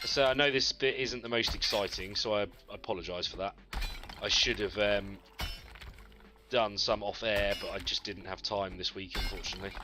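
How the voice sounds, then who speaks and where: A man with a Yorkshire accent speaks at a fairly low pitch with fairly even intonation and long, frequent pauses. There is noticeable background noise. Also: moderate pace. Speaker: gaming streamer. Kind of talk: live stream chat with viewers. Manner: relaxed, chatty.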